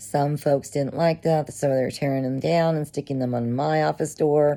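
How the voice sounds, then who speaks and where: A woman speaks with a dark, mellow tone. Her voice is very deep and low, with fairly even intonation. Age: 50s. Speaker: social services worker and covid survivor. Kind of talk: personal testimony, casual monologue.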